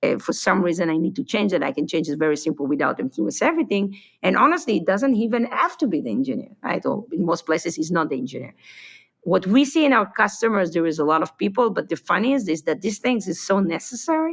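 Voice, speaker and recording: A woman with a non-native accent, medium pitch, very wide pitch swings, and a very fast pace. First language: not English. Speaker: tech company founder. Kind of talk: podcast interview.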